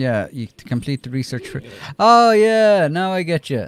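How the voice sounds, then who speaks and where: A man with an Irish accent and very wide pitch swings, in a dry, close recording with no echo. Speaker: gaming livestreamer. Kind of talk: casual livestream chat.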